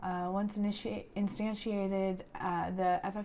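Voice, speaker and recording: At a moderate pace, a woman speaks in a medium pitch over noticeable background noise. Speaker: creative coding instructor. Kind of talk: tutorial. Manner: casual, filler-heavy.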